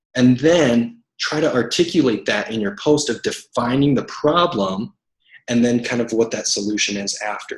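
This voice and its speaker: A somewhat breathy man's voice at a medium pitch. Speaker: network marketing coach. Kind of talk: team training call. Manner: fast.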